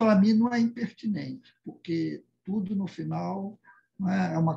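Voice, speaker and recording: A man's high-pitched voice with a dark, mellow tone at a fairly slow pace. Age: 70s. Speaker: participant in spiritist study discussion. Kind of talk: casual group discussion comment. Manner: halting, with many repetitions and fillers.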